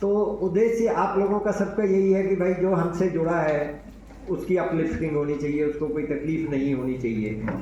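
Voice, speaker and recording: A man with a high pitch and ordinary pitch variation is heard through noticeable background noise and audible room echo. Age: 80s+. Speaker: elder speaker at an institution event. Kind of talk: public speech.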